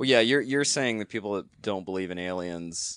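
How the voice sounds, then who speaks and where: Over a quiet background, a man talks at a fairly quick pace. His pitch is very deep and low. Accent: American. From US South. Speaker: filmmaker. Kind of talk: casual chat.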